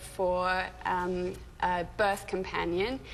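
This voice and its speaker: A woman speaks with a British accent. Her pitch is medium and her pace very slow. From England (moved from California at eight). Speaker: doula and childbirth educator. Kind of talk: TV interview.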